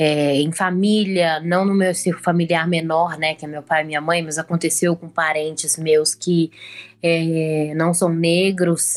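A woman speaks at a fairly slow pace in a fairly low pitch, her intonation flat and monotone. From Brazil, Belo Horizonte. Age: 20s. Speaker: journalism student and painter. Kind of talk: casual chat.

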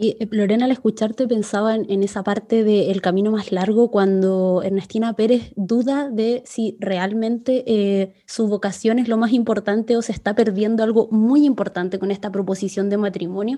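Speaking at a moderate pace with hardly any pauses, a woman with a Chilean accent has a fairly high pitch and a dark, mellow tone. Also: fairly even intonation. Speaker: podcast host. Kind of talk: casual interview chat.

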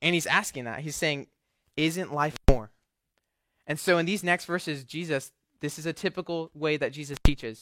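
At a fairly quick pace, a man speaks with ordinary pitch variation in a dry, close sound with no echo. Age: young. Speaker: young adult ministry intern. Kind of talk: sermon. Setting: church service with audience. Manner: casual, with filler words.

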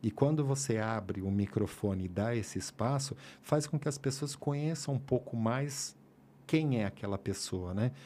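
A man's medium-pitched voice with a dark, mellow tone, ordinary pitch variation and a moderate pace, in a very clean recording with a silent background. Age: 50s. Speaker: sports photographer. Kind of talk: casual interview chat. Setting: studio, live podcast.

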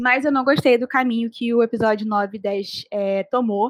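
Recorded dry and close with no echo, a woman has a fairly high pitch, ordinary pitch variation and an unremarkable speaking voice. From Brazil, Rio de Janeiro. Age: 20s. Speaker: podcast co-host, advertising student. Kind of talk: casual chat.

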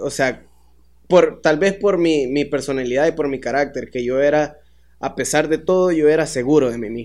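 A man with a Salvadoran accent, at a moderate pace, with fairly even intonation. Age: 20s. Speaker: dancer and choreographer. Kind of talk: casual chat.

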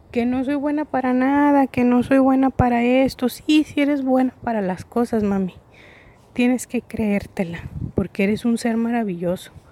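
A woman's high-pitched voice has a dark, mellow tone, ordinary pitch variation and a moderate pace. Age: 30s. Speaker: podcast host. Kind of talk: casual monologue. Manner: hesitant, many fillers.

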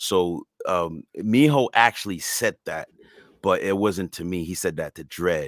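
A man's bright, sharp tone comes through with a dry, close sound and no echo. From Montreal, Quebec, Canada. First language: French and Creole. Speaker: hip hop artist and dancer. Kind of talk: casual interview chat. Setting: recorded remote interview. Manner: halting, with repeated words and fillers.

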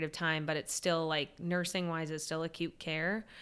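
A woman with an American accent speaks at a fairly low pitch in a bright, sharp tone with monotone, flat intonation, on a very clean recording with a silent background. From US West Coast, San Diego. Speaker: pediatric oncology nurse. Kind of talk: interview conversation.

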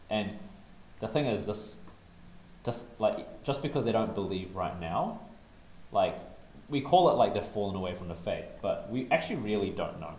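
A man speaking at a moderate pace, with long, frequent pauses. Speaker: podcast panelist. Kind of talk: casual chat. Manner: animated, laughs a lot.

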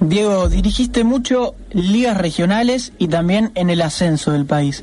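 This man's voice is high for a man, with lively intonation and a fairly slow pace. There is noticeable background noise. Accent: Argentine. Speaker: radio co-host. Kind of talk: casual chat.

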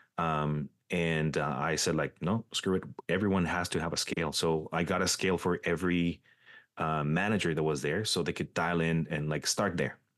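In a very deep, low pitch, a man talks at a moderate pace with fairly even intonation and very even loudness. The background is quiet. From Mexico. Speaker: coffee consultant. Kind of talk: casual interview chat.

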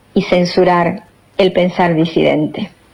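A woman with an unremarkable speaking voice talks at a fairly slow pace. Her pitch is fairly low and her intonation fairly even. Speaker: radio host and poetry reader. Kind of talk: poetry reading, spoken word with a solemn, declamatory delivery after a casual intro. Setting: radio show.

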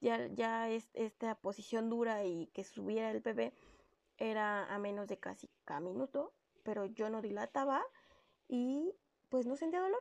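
A woman's normal speaking voice, fairly high in pitch, at a fairly slow pace with lively intonation, in a dry, close sound with no echo. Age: 30s. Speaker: podcast host, working mother. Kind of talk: personal storytelling monologue.

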